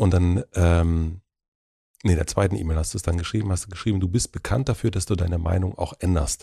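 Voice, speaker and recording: Very deep and low, a man speaks at a fairly quick pace, somewhat breathy, with a dark, mellow tone and ordinary pitch variation. His loudness stays very even, and the sound is dry and close with no echo. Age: 40s. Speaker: podcast host. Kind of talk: interview conversation.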